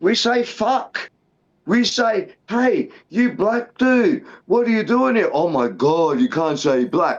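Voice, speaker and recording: Talking very slowly in an Australian accent, a man with an extremely high voice keeps his loudness very even while his pitch swings very widely. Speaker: MMA podcast co-host. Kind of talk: casual chat. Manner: animated.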